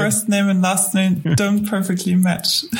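A woman with a German accent and a medium pitch, moderate pace, audible room echo. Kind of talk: podcast interview.

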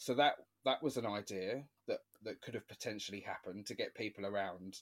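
In a London accent, a man speaks with a fairly low pitch. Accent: London-area English. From London area, England. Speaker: podcast host. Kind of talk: casual interview chat.

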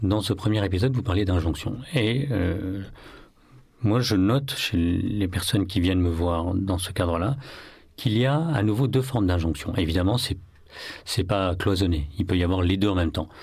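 The voice is somewhat breathy, with ordinary pitch variation and very even loudness. It moves at a moderate pace. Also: man, very deep, low pitch for a man. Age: 40s. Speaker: author and workplace well-being coach. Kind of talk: interview. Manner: hesitant, many fillers.

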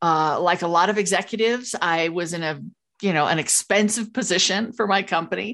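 A woman with an American accent speaks at a moderate pace with lively intonation, in a normal speaking voice. Her pitch is medium, and the background is quiet. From Los Angeles, California. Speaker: keynote speaker and author. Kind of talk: casual interview.

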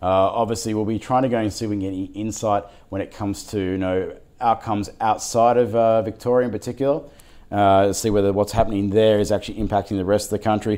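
In an Australian accent, the voice runs at a very fast pace with a flat, monotone delivery and a dark, mellow tone. The recording is very clean and the background silent. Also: man, fairly low pitch for a man. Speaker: financial news show co-host. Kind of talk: casual market wrap-up chat. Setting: studio. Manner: frequent hesitations and filler.

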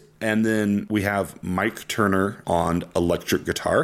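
This man has a plain, everyday voice with fairly low pitch. He talks at a fairly slow pace in a very clean recording with a silent background. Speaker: podcast host. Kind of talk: casual chat.

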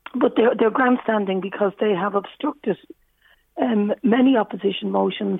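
A woman with a Dublin accent, fairly high in pitch, at a moderate pace with ordinary pitch variation. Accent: Irish, Dublin. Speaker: politician. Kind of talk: radio interview. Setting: phone call. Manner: hesitant, many fillers.

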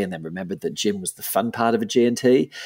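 Very fast and lively in intonation, a man with an Australian accent speaks at medium pitch in a very clean recording with a silent background. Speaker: gin company co-founder. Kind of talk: interview. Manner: repetitive false starts.

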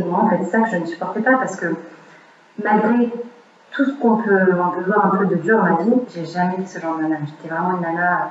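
A woman talks at a fairly quick pace in a medium pitch with ordinary pitch variation, her voice carrying audible room echo over noticeable background noise. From Quebec. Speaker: fitness coach. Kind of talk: casual chat. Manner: animated; fast. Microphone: poor recording sound.

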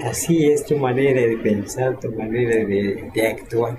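A man talks at a very slow pace with ordinary pitch variation. The recording carries audible room echo and noticeable background noise. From Mexico, Yucatán (Mérida). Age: 90s. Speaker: painter. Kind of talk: interview.

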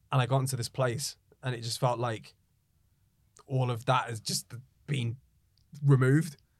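A man with a British accent talks at a moderate pace in a medium pitch, his voice somewhat breathy. His intonation is fairly even, with long, frequent pauses. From Egypt, raised in the UK from age three. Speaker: radio presenter. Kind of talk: casual chat.

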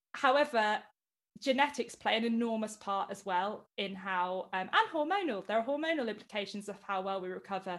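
In a very clean recording with a silent background, a woman with a fairly high pitch sounds upbeat, her pitch varying in an ordinary way. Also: fairly quick pace. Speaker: fitness and nutrition expert. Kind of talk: podcast interview. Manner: peppy, upbeat.

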